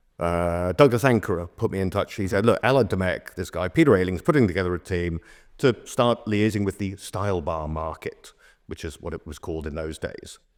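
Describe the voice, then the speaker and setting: A man's very deep, low voice at a fairly quick pace, with ordinary pitch variation and big swings in loudness, on a very clean recording with a silent background. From Oxford, England. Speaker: bartender and drinks consultant. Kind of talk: podcast interview answer. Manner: fast.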